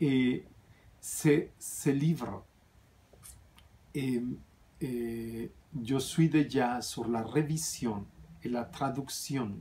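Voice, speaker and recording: A man with a non-native accent talks at a very slow pace, pausing long and often. His medium-pitched voice is somewhat breathy. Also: ordinary pitch variation. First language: not French (speaking French). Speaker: spiritual author and vlogger. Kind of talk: casual vlog talk. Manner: halting, with fillers and restarts.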